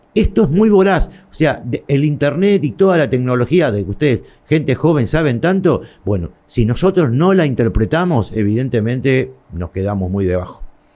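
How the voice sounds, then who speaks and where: At a medium pitch, a man speaks in a dark, mellow tone at a moderate pace. His pitch swings very widely. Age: 60s. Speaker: shopkeeper and trade association leader. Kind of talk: interview. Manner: halting.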